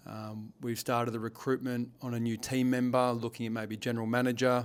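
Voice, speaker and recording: A man with an Australian accent talks at a moderate pace in a medium pitch, his intonation fairly even. The recording is very clean, with a silent background. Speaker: business owner and leadership coach. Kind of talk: vlog monologue. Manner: halting, repeats words; slurring slightly.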